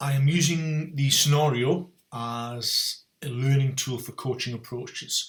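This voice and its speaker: The speaker has a North East England accent and a fairly slow pace. The intonation is fairly even. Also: man, fairly high pitch for a man. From North East England (Newcastle). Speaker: strength and conditioning coach, podcast host. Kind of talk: solo podcast monologue.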